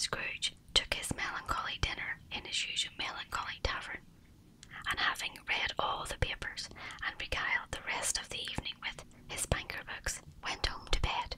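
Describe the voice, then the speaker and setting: A whispered voice moves at a moderate speed. Behind it, background noise is noticeable. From Northern Ireland. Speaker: ASMR artist. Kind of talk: audiobook reading.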